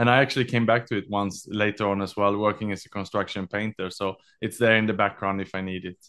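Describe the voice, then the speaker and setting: A man speaks at a very fast pace in a fairly low pitch, his intonation monotone and flat, over a quiet background. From Sweden. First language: Swedish. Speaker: author and executive mental health advocate. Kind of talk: interview. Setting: remote call.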